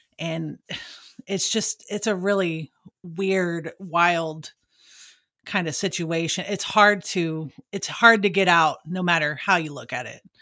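With a Texan accent, a woman speaks at a very slow pace in a bright, sharp tone, her pitch fairly low and her intonation fairly even. The recording is very clean, with a silent background. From Texas. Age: 30s. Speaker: true crime podcast co-host. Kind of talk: casual interview. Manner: hesitant, many fillers.

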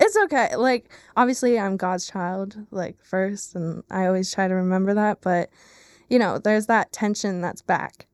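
An ordinary speaking voice from a woman at a medium pitch and moderate pace, with ordinary pitch variation, in a dry, close sound with no echo on a very clean recording with a silent background. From Pennsylvania, Lehigh Valley. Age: 20s. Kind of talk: testimony interview. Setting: studio.

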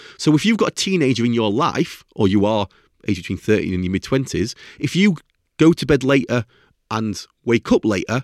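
A man's medium-pitched, normal speaking voice with lively intonation at a moderate pace, a dry, close sound with no echo, and a very clean recording over a silent background. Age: 40s. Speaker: sleep expert podcast host. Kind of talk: solo educational talk.

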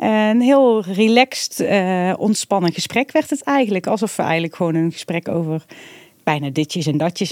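Using a normal speaking voice, a woman talks at a medium pitch and moderate pace with lively intonation and a dry, close sound with no echo. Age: 40s. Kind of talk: casual interview.

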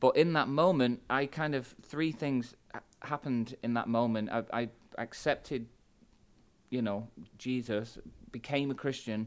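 In a very clean recording with a silent background, a man with a Mancunian accent talks at a fairly slow pace with fairly even intonation. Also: medium pitch for a man. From England, Manchester. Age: 40s. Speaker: pastor. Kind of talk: podcast interview.

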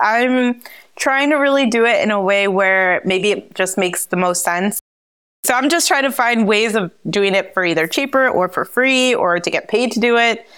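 A fairly high-pitched woman with a New Jersey accent and very wide pitch swings, on a very clean recording with a silent background. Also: very even loudness. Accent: American, New Jersey. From US Northeast, New Jersey. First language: Spanish. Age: 30s. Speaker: travel entrepreneur. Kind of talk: interview.

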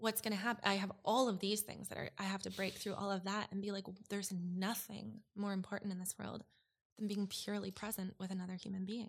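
A woman with a Canadian accent speaks at a medium pitch and a fairly quick pace. Her intonation is monotone and flat, and her voice is somewhat breathy. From Alberta, Canada (Edmonton suburb). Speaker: former interior designer sharing mental health story. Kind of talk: casual interview. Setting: in person. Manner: hesitant, many fillers.

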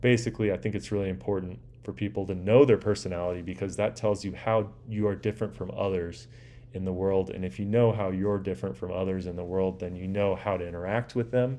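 A man with an American accent speaks at a very fast pace. His voice is very deep and low, with a dark, mellow tone and ordinary pitch variation. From US West Coast, Southern California (Orange County). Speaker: podcast host and dive company owner. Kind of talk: solo monologue podcast, self-interview. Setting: living room.

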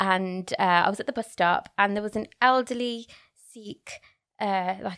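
A woman speaks with a Birmingham accent. The sound is dry and close, with no echo. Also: very clean recording, silent background. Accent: Birmingham (Brummie) English. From Birmingham, England. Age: 30s. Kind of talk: casual interview.

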